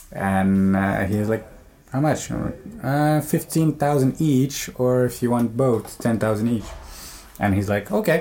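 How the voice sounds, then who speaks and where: Speaking at a very slow pace with very even loudness, a man in a Quebec accent holds a medium pitch. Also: ordinary pitch variation. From Algeria, raised in Montreal. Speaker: traveler. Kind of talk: interview.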